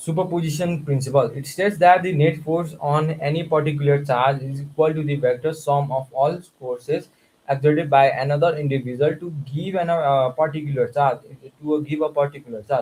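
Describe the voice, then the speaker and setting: With fairly even intonation and a fairly high pitch, a man talks in a somewhat breathy voice. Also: fairly quick pace. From Nepal. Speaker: student streamer. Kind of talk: studying aloud on livestream. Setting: livestream. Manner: halting.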